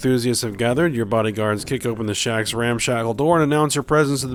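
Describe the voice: Plain reading aloud, pitch moving in an ordinary way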